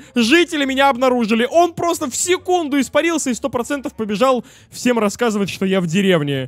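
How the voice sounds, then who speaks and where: A man speaks at an extremely high pitch with lively intonation. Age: 20s. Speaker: gaming YouTuber. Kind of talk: let's play commentary. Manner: animated.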